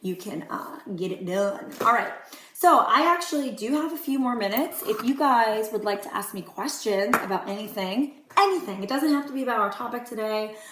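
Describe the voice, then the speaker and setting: A woman with a fairly high voice talks with lively intonation and hardly any pauses, and the room echo is audible. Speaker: direct sales consultant. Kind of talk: live video Q&A. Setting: live stream. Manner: fast.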